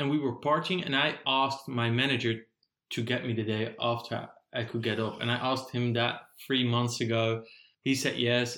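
With a Dutch accent, a man speaks at a moderate pace in a medium pitch, his bright, sharp tone delivered in a monotone, flat intonation. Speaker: podcast co-host. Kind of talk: casual chat.

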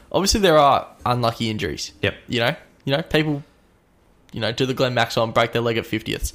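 With an Australian accent, a man talks at a very fast pace in a medium pitch with ordinary pitch variation. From Melbourne, Australia. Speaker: sports podcast host. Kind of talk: casual chat. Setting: studio.

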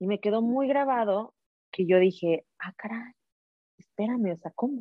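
Fairly slow and at a medium pitch, a woman speaks with ordinary pitch variation. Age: 30s. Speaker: entrepreneur and empowerment coach. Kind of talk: casual interview chat.

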